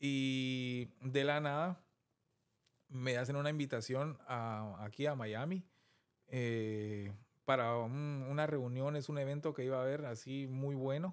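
Against a quiet background, a man speaks at a very slow pace with fairly even intonation. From Guatemala, Guatemala City; Guatemala. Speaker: film director; interview guest. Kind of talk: interview. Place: studio. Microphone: studio mic.

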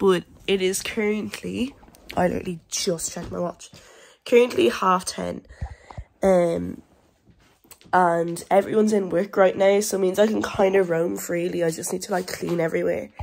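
A woman with an Irish accent at a medium pitch, ordinary pitch variation, a moderate pace and long, frequent pauses. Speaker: vlogger. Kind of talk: casual vlog. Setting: at home. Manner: hesitant, many fillers.

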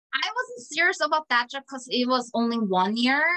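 Against a quiet background, a woman with a Korean accent speaks at a moderate pace, her tone bright and sharp and her intonation lively. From South Korea. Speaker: orchestral cellist. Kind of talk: interview. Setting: video call. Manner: halting. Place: home room. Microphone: video call.

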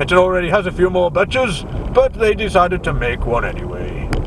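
A man talks at a moderate pace with a dry sound and no echo. Noticeable background noise runs underneath. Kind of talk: casual tour commentary. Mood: light, joking. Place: car. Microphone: camera far.

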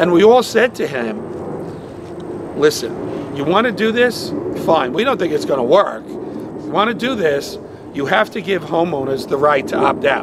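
Long, frequent pauses break up speech at a moderate pace, with noticeable background noise throughout. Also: man. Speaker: politician at press conference. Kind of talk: public address. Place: street. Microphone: podium.

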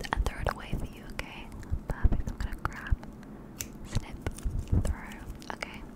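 A woman whispers at a fairly quick pace, her voice breathy. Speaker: ASMR creator. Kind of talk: soft whispered ASMR roleplay. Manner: soft, breathy ASMR voice close to mic. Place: home room. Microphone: studio mic.

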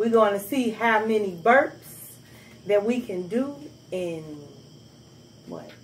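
A somewhat breathy voice at a very slow pace, with lively intonation, long and frequent pauses, and light background noise. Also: woman, big swings in loudness. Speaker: channel host. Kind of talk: casual talk to camera, hosting a challenge video. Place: home room.

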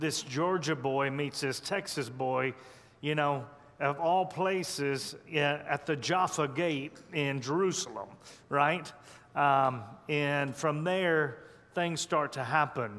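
A man speaks at a very slow pace, his loudness very even throughout. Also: ordinary pitch variation. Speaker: pastor preaching. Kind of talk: sermon. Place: church. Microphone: headset.

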